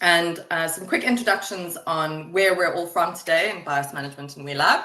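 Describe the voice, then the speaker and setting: With a South African accent, a woman with a fairly low pitch speaks fairly quickly, with ordinary pitch variation, big swings in loudness, and noticeable background noise. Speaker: webinar moderator, project manager. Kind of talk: webinar presentation. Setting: online webinar.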